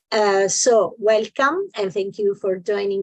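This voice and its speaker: A woman's medium-pitched voice with fairly even intonation, in a dry, close sound with no echo. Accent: Italian. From Italy. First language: Italian. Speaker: business association delegate. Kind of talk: conference presentation. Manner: halting, many fillers.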